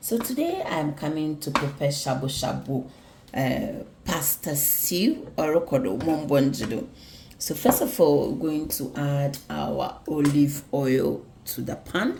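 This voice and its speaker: Audible room echo and noticeable background noise accompany a woman talking at a fairly slow pace. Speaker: home cooking vlogger. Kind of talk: cooking tutorial.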